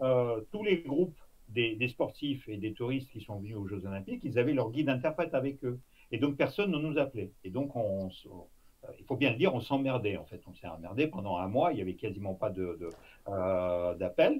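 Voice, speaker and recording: A man with lively intonation talks at a medium pitch and a moderate pace. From Russia. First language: Russian (speaking French). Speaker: former intelligence officer. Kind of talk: interview. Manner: halting, many fillers.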